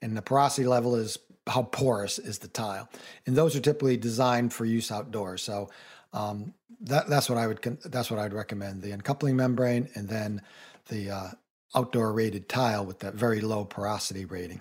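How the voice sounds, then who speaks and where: This is a plain, everyday voice, a man's at medium pitch with ordinary pitch variation. He speaks at a fairly quick pace. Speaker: radio co-host, home improvement. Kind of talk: casual radio chat and tips.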